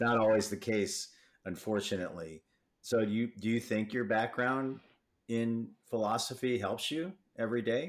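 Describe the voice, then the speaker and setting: A man with an American accent speaks in a plain, everyday voice at a medium pitch and a moderate pace, with ordinary pitch variation. The recording is very clean, with a silent background. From Michigan, US. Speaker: podcast host, trade association CEO. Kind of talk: interview.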